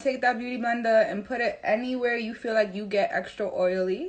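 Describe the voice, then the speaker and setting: A woman speaks with a strong New York accent and a fairly high pitch. Her pace is moderate. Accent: thick New York City. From New York City. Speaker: makeup artist. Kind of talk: tutorial. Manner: casual, direct.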